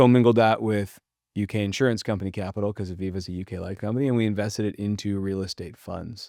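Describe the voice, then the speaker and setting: A man with a Californian accent speaks at a very fast pace, fairly low in pitch with fairly even intonation, on a very clean recording with a silent background. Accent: General American (Californian). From Southern California (Pacific Palisades). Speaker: real estate debt broker. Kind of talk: podcast interview.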